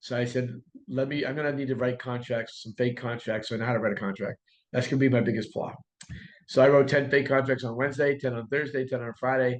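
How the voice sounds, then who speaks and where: Medium in pitch, a man's voice moves at a very fast pace. His intonation is monotone and flat. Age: 60s. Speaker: real estate coach and broker. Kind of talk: podcast interview.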